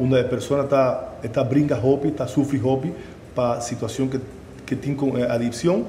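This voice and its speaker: Against light background noise and audible room echo, a man speaks at a moderate pace. His intonation stays fairly even. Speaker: psychiatrist or addiction specialist. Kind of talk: explanatory talk. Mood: serious, earnest.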